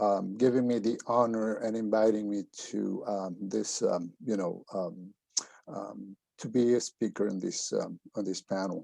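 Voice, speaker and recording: A man speaks at a fairly slow pace, his fairly low voice dark and mellow, with fairly even intonation. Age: 60s. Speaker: labor organizer. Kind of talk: panel presentation. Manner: halting, many fillers.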